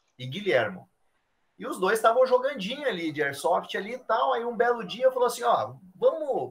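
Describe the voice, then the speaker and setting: A man's extremely high voice with very wide pitch swings. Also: moderate pace. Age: 30s. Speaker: airsoft player and photographer. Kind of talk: casual chat.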